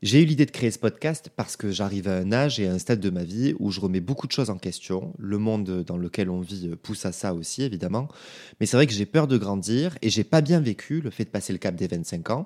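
A man with a fairly low pitch and a dark, mellow tone talks at a fairly quick pace with lively intonation, in a very clean recording with a silent background. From France (provinces). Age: 20s. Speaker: podcaster. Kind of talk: solo podcast monologue. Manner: casual, informal.

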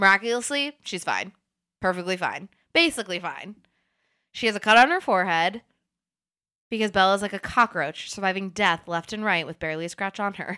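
Recorded very cleanly against a silent background, a woman with medium pitch and ordinary pitch variation speaks at a fairly quick pace in a bright, sharp, animated tone, with big swings in loudness and long, frequent pauses. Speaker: podcast host. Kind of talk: casual chat.

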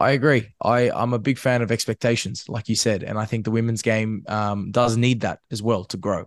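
A man with an Australian accent at a medium pitch, with fairly even intonation, a moderate pace, hardly any pauses and a quiet background. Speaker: football media host. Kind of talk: casual chat.

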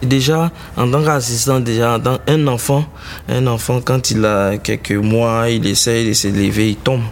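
A man's medium-pitched voice at a fairly slow pace, fairly even intonation and very even loudness, with noticeable background noise. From Côte d'Ivoire, Tabou (south-west). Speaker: musician and arranger. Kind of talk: interview.

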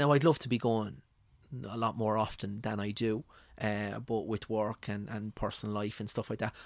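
In a rural Irish accent, a man speaks at a moderate pace and a fairly low pitch with fairly even intonation, on a very clean recording with a silent background. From rural Ireland. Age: 30s. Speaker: food blogger. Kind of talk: casual interview. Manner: halting.

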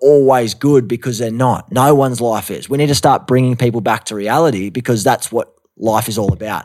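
A man speaks with a strong Australian accent. His intonation stays fairly even. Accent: thick Australian. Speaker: actor and mental health advocate. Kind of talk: casual interview chat. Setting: studio recording in Los Angeles.

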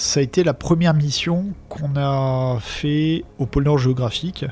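This man's voice sits fairly high and has ordinary pitch variation. Noticeable background noise runs underneath. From France, Alps. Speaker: diver and explorer. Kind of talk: storytelling interview.

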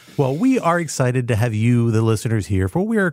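In a very clean recording with a silent background, a man at a medium pitch speaks with ordinary pitch variation. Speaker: national security podcast host. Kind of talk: casual panel discussion of news. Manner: fast.

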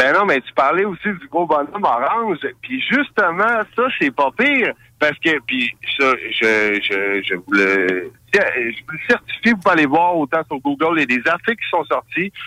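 In a Quebec accent, a man speaks fairly slowly with a high pitch, very wide pitch swings and a bright, sharp tone, the sound dry and close with no echo. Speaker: radio columnist. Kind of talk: casual radio discussion.

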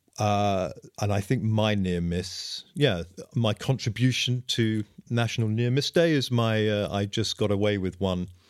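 Recorded very cleanly against a silent background, a man with a plain, everyday voice talks at a fairly slow pace and a fairly low pitch. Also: ordinary pitch variation. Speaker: podcast co-host, former diplomat. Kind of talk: casual chat.

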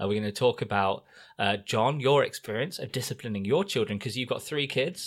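A man's plain, everyday voice at medium pitch on a very clean recording with a silent background. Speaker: podcast host. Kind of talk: casual chat.

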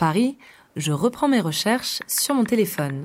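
A woman's medium-pitched voice with very wide pitch swings, on a very clean recording with a silent background. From Grenoble area, Rhône-Alpes, France. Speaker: podcast host, reporter. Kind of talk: scripted narration.

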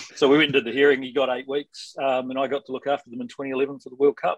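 Someone with a New Zealand accent talks at a very fast pace in a dry, close sound with no echo. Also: man. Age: 40s. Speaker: sports lawyer. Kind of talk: podcast interview.

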